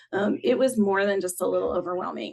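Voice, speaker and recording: Lively intonation and vocal fry from a woman with a Southern US accent. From US South. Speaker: content designer. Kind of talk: conference talk. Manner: casual, with frequent fillers.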